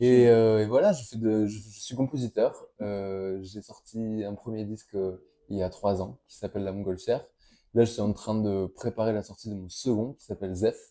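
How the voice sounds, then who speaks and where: The tone is dark and mellow, with big swings in loudness. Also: man, fairly low pitch for a man, fairly even intonation, moderate pace. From Toulouse area, southern France (countryside near Verfeil). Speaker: guitarist and composer. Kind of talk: interview. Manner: halting, many hesitations.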